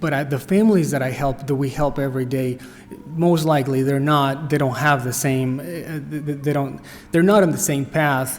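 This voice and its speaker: A man with a Spanish accent talks at a moderate pace and a fairly high pitch, with ordinary pitch variation. Audible room echo and noticeable background noise surround him. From Costa Rica. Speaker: nonprofit director. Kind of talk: workshop talk. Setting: church. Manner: halting.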